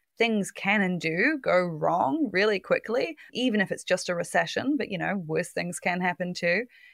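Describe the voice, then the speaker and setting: Recorded very cleanly against a silent background with a dry, close sound and no echo, a woman with a New Zealand accent speaks at a moderate pace and medium pitch. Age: 30s. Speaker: finance journalist. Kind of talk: interview.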